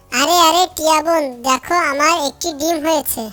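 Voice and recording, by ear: A squeaky, cartoonish character voice moves along at a moderate pace. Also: woman, extremely high pitch for a woman.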